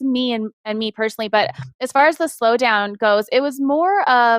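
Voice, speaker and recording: A woman's high-pitched voice with ordinary pitch variation, in a dry, close recording with no echo. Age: 40s. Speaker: interior design firm owner. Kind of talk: interview. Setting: live web show. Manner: fast.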